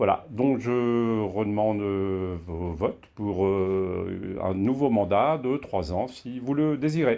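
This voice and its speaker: Against a quiet background, a man with a fairly low pitch and a dark, mellow tone speaks with ordinary pitch variation. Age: 60s. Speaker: association board candidate, boat skipper. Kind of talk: self-introduction video. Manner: hesitant, many fillers.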